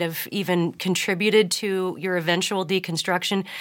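A plain, everyday voice, this woman speaks at a medium pitch and a moderate pace. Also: very clean recording, silent background. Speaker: podcast host. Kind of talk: casual interview.

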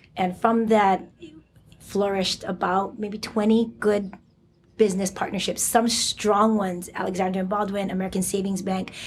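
In a Hawaiian accent, a woman speaks at a medium pitch and moderate pace, somewhat breathy, with monotone, flat intonation. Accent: Hawaii English. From Hawaii (Oahu). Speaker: elementary school principal. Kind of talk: interview. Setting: school campus.

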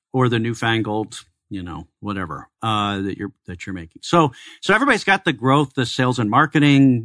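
Speaking at a moderate pace in a normal speaking voice, a man with an American accent uses lively intonation at a medium pitch against a quiet background. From Chicago, US Midwest. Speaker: tech entrepreneur and consultant. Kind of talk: radio interview. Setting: studio.

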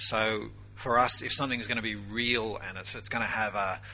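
A man talks at a medium pitch with an Australian accent. His tone is bright and sharp. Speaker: pastor. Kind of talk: conference panel discussion. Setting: stage with audience.

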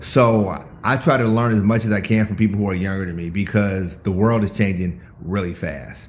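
An ordinary speaking voice from a man, fairly low in pitch, moderate pace with hardly any pauses and ordinary pitch variation. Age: 50s. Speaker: entrepreneur and mentor. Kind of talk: casual chat. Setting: video call.

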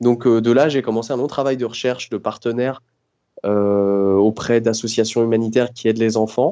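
A man's unremarkable speaking voice, medium in pitch, with fairly even intonation at a moderate pace. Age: 30s. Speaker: roller-skate traveller. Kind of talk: interview.

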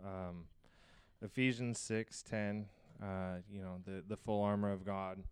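A man with an American accent speaks at a fairly low pitch and fairly slow pace, with flat, monotone intonation and long, frequent pauses. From US Southwest, New Mexico and Arizona. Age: 30s. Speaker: podcast co-host. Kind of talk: casual chat.

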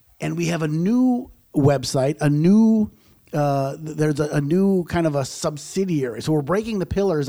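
A man in an American accent talks at a fairly high pitch and moderate pace, using a normal speaking voice with ordinary pitch variation. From US Midwest, south side of Chicago. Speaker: company founder. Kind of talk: radio interview.

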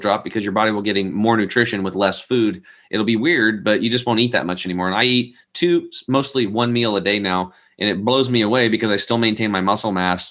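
Speaking very fast with an American accent, a man keeps a fairly low pitch with ordinary pitch variation. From US West, Eastern Oregon. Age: 40s. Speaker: health product entrepreneur. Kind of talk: interview.

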